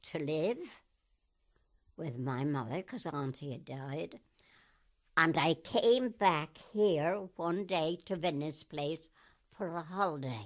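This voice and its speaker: A woman with a Gloucestershire accent, fairly low-pitched, at a very slow pace with very wide pitch swings over a quiet background. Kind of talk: oral history interview answer. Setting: radio interview recording.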